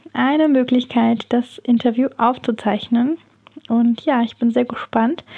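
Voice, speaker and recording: This woman has a high-pitched voice. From Germany, near Heidelberg. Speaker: podcast host, photographer and lettering coach. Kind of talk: casual solo podcast monologue. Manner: animated, enthusiastic.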